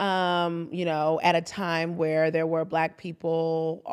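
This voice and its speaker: A woman with an American accent speaks at a very slow pace and fairly low pitch, her intonation monotone and flat. The recording is very clean, with a silent background. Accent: slight Texan and Caribbean twang. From Austin, Texas (Old East Austin); Trinidadian parents. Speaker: community leader, entrepreneur and author. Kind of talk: casual interview.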